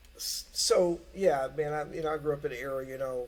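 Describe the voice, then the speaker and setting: At a moderate pace, a man with a Kentucky accent talks at a fairly high pitch. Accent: Kentucky Southern US. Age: 60s. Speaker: guitarist. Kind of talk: casual chat. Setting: studio.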